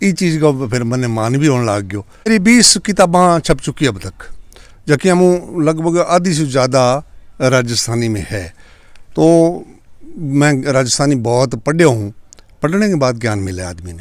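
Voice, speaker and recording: This voice, with a Punjabi accent, moves through very wide pitch swings. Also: man, fairly high pitch for a man. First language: Punjabi (speaking Hindi). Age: 70s. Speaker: poet and retired teacher. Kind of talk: interview.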